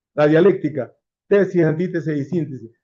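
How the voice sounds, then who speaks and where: A man's fairly high voice in a dark, mellow tone at a moderate pace. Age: 70s. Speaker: lawyer and former student activist. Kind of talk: panel discussion testimony. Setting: library event with audience. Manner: animated.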